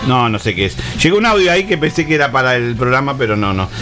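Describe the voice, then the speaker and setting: Over music in the background, a man speaks very fast at a medium pitch, his voice swinging very widely up and down. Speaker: radio host. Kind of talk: casual chat. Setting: studio.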